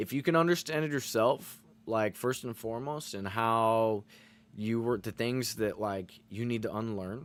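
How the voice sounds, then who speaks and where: Over a silent background in a very clean recording, a man talks in an ordinary speaking voice at a medium pitch with ordinary pitch variation and a fairly slow pace. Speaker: streamer. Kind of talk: casual chat. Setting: live stream.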